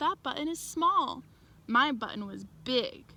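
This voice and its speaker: Putting on a character voice, a woman speaks with a high pitch. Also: fairly slow pace. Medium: read story.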